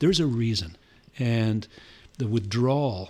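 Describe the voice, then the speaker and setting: At a moderate pace, a man with an American accent speaks in a somewhat breathy, medium-pitched voice with ordinary pitch variation. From Santa Ynez Valley, California. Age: 60s. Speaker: winery and brewery co-founder. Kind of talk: casual interview chat.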